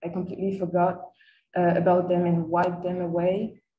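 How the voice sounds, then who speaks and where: A somewhat breathy voice with a dark, mellow tone speaks in a French accent. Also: woman. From France. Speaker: master's student. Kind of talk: seminar presentation. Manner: hesitant, with frequent fillers.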